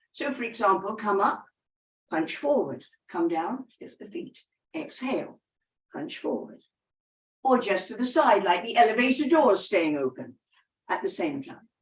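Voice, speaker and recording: The speech has vocal fry, very wide pitch swings and big swings in loudness, moving at a moderate pace with long, frequent pauses. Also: woman, fairly high pitch for a woman. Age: 80s+. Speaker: personal trainer. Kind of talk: exercise instruction to camera.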